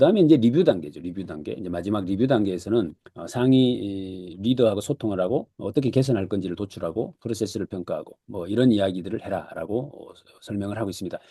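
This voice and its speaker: A man's dark, mellow tone at a very fast pace, with lively intonation and big swings in loudness. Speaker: lecturer, book summary host. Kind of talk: online lecture. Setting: Zoom video call. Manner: hesitant with frequent fillers.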